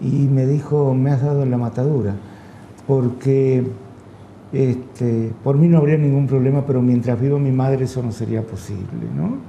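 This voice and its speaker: Against noticeable background noise and audible room echo, a man speaks at a moderate pace with a medium pitch and fairly even intonation. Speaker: radio/TV host. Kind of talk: interview. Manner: hesitant, many fillers.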